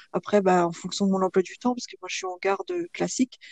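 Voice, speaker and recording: A woman speaks in a dark, mellow tone at a fairly quick pace. The sound is dry and close, with no echo. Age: 30s. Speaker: guest sharing her love life. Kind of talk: testimony. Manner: hesitant, many fillers.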